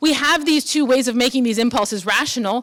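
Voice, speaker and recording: A woman talks fairly quickly at a high pitch with ordinary pitch variation. Noticeable background noise runs behind her. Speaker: philosophy professor. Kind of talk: lecture. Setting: conference luncheon talk. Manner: fast; frequent fillers, um and uh.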